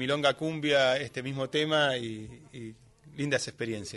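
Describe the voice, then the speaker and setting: A man with a plain, everyday voice talks at a fairly slow pace. His pitch is fairly high, and his intonation is fairly even. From Greater Buenos Aires (Lomas de Zamora). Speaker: tango musician. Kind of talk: casual chat. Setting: studio.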